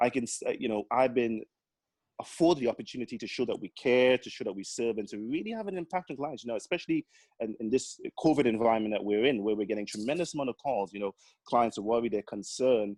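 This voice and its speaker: In a Caribbean accent, a man talks at a very fast pace and medium pitch with ordinary pitch variation, the sound dry and close with no echo. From Grenada (born in Trinidad). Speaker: accountant and business owner. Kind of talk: podcast interview. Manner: lively, full of life.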